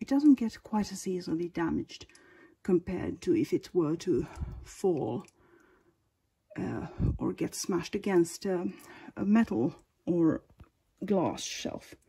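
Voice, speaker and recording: A woman with a Finnish accent, medium pitch, very wide pitch swings and vocal fry, fairly slow with long, frequent pauses, on a very clean recording with a silent background. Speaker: figurine collector. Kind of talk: casual talk to camera. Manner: hesitant, many filler sounds.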